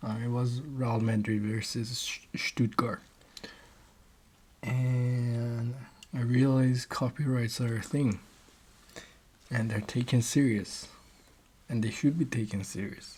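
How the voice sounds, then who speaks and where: Quiet and somewhat breathy, a man speaks at a very slow pace and medium pitch, with fairly even intonation and long, frequent pauses. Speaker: amateur reader and YouTuber. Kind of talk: casual intro before reading aloud. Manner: halting, with many fillers and restarts.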